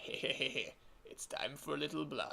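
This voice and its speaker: A man in a put-on character voice at a moderate pace. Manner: menacing, sinister laugh.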